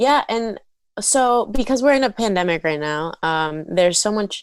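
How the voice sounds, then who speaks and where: In a very clean recording with a silent background, a woman with an American accent speaks in an unremarkable speaking voice. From South Florida. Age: 20s. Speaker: content creator and musician. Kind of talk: casual chat. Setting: podcast interview.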